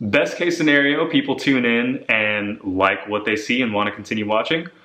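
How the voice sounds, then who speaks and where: This man's intonation rises and falls in a lively way. His delivery keeps a moderate tempo. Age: 20s. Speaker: running vlogger. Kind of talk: casual vlog chat. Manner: chatty.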